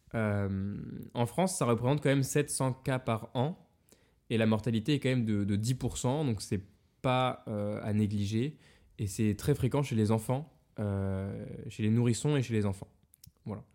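Recorded very cleanly against a silent background, a dark, mellow voice moves at a fairly slow pace with ordinary pitch variation and long, frequent pauses. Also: man, medium pitch for a man. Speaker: podcast host, medical student. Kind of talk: casual chat.

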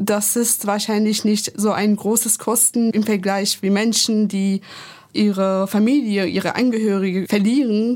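At a fairly slow pace, a woman speaks at medium pitch in a monotone, flat intonation with very even loudness. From Iran. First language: Persian (speaking German). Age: 20s. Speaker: activist. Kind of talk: panel discussion.

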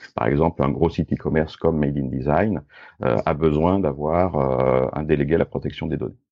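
A man speaks at a moderate pace in a very deep, low pitch with vocal fry and ordinary pitch variation. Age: 50s. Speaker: entrepreneur and data protection consultant. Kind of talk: interview.

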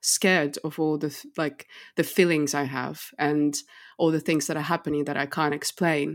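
Her intonation stays flat and monotone. The woman's pitch sits very deep and low. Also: very clean recording, silent background. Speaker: podcast host. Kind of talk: casual interview chat.

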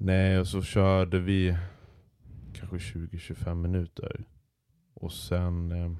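On a very clean recording with a silent background, a man speaks in a very deep, low, dark, mellow voice with monotone, flat intonation. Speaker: podcast co-host, radio entrepreneur. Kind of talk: casual chat.

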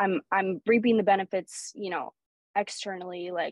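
A woman's medium-pitched voice with a Pacific Northwest accent, fairly even intonation and a moderate pace. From Oregon, Portland area. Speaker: professional soccer player. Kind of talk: interview conversation.

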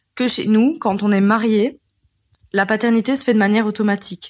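A woman speaks in a normal speaking voice at a moderate pace, with medium pitch and ordinary pitch variation. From Belgium. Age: 20s. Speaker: listener, new mother. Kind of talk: testimony. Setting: recorded voice message.

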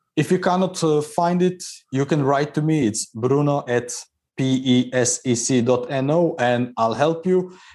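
Speaking at a fairly slow pace, a man with a Croatian accent has a fairly high pitch and ordinary pitch variation, recorded very cleanly with a silent background. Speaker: engineer and innovation consultant. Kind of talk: interview.

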